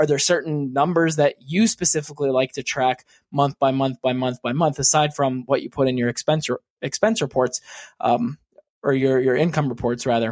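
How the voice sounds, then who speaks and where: A man with an ordinary speaking voice, fairly high in pitch with ordinary pitch variation, talks at a moderate pace in a dry, close sound with no echo. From US, Pittsburgh, Pennsylvania. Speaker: new podcaster and small business owner. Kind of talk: recorded listener question.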